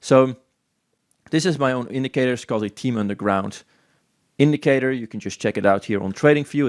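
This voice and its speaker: Very fast speech with a Dutch accent, dry and close with no echo, on a very clean recording with a silent background. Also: man. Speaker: crypto trading analyst. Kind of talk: chart analysis tutorial. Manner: casual, animated.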